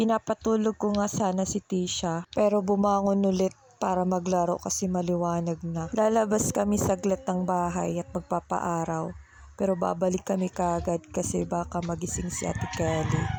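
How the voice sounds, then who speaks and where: A woman speaks at a moderate pace. Her tone is dark and mellow, with monotone, flat intonation. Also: medium pitch for a woman. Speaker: vlogger, stay-at-home mom. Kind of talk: vlog voice-over narration. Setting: home, partly outdoors.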